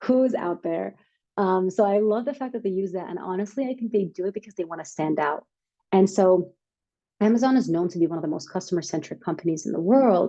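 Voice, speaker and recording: A woman's dark, mellow voice at medium pitch, with ordinary pitch variation and a fairly quick pace. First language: not English. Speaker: startup workshop speaker. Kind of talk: workshop presentation. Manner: casual, filler-heavy.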